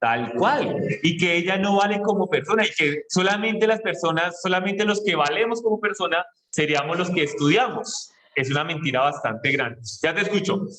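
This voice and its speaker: A man with a Colombian accent, high-pitched and lively in intonation, at very even loudness. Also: moderate pace. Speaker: school teacher. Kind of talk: classroom lesson.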